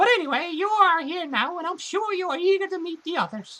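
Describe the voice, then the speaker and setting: This put-on character voice sits at an extremely high pitch. The lines come at a fairly quick pace. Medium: game stream. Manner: polite, deferential.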